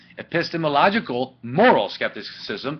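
A man's fairly high voice with a slightly husky edge and big pitch swings. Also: moderate pace.

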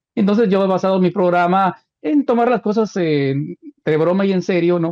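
This man has a plain, everyday voice and talks at a fairly quick pace. His pitch variation is ordinary, and the background is quiet. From Guatemala. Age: 60s. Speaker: radio host; radio host, interview guest. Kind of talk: casual interview. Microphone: video call.

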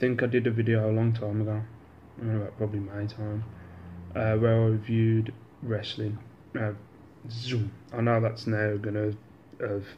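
With light background noise, a man speaks at a moderate pace in a fairly low, somewhat breathy voice, his intonation monotone and flat, with long, frequent pauses. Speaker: vlogger. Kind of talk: casual vlog chat. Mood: relaxed, joking. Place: home room. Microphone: phone near.

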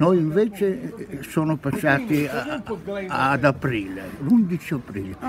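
A man's fairly high voice at a very slow pace, with very wide pitch swings, dry sound with no echo, and noticeable background noise. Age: 80s+. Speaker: retired train driver. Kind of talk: interview answer. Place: market. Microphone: phone near.

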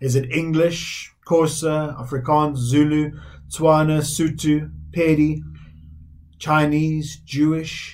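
A man's fairly high, somewhat breathy voice, monotone and flat, at a very slow pace against a quiet background. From South Africa. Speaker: Methodist minister. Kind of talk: sermon. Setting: recorded online church service. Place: home room.

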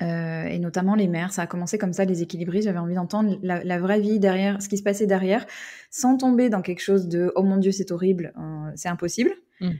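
Her tone is dark and mellow, with a medium pitch and fairly even intonation. The woman speaks at a fairly quick pace on a very clean recording with a silent background. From United States. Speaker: podcaster and workplace culture consultant. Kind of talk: interview. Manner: halting.

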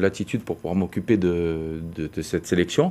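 Ordinary pitch variation runs through a man's dark, mellow-toned voice. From France. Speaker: football coach. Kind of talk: TV news interview. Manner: halting. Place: studio. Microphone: lapel.

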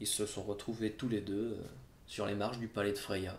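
There is light background noise and audible room echo. A man with a fairly low pitch speaks at a moderate pace, sounding somewhat breathy. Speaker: storyteller performing a live show. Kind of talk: live storytelling performance, humorous. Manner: conversational, comic, lively. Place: home room.

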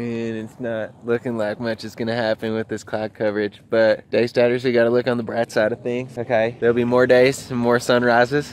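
Delivered at a fairly quick pace with monotone, flat intonation, the speech has a dry sound with no echo and light background noise. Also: man. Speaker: travel vlogger. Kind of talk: casual vlog chat. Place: street. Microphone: phone near.

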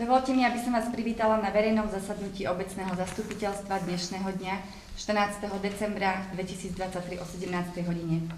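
A woman talks at a moderate pace with fairly even intonation. Light background noise and audible room echo can be heard. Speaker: village mayor. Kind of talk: formal meeting chairing. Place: meeting room. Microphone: podium.

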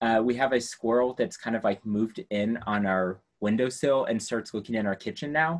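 Speaking at a moderate pace with hardly any pauses, a man with an American accent uses ordinary pitch variation against a quiet background. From rural US. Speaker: science education professor. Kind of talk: lecture. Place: classroom. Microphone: video call.

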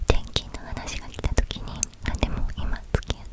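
Soft-spoken, a woman whispers at a fairly slow pace. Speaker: book-talk vlogger. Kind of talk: casual vlog chat. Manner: soft ASMR whisper close to mic. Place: home room. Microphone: studio mic.

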